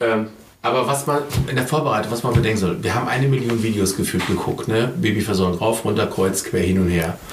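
A man talks at a very fast pace and a medium pitch, with ordinary pitch variation and very even loudness. Room echo is audible and background noise is noticeable. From Ruhr area, Germany. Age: 50s. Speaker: father via surrogacy. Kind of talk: interview. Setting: at home.

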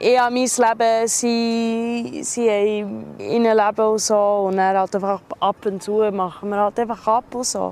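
Speaking at a fairly slow pace, a woman keeps her fairly high voice in a fairly even intonation. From abroad. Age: 20s. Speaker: hotel employee. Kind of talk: interview. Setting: outdoors. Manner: halting.

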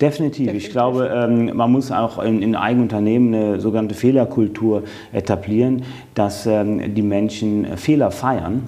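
A man speaks at a medium pitch and a moderate pace, with fairly even intonation. Noticeable background noise runs under his voice. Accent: slight Cologne. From western Germany, Eifel region between Cologne and Trier. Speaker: business executive. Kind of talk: interview. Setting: in person in Düsseldorf.

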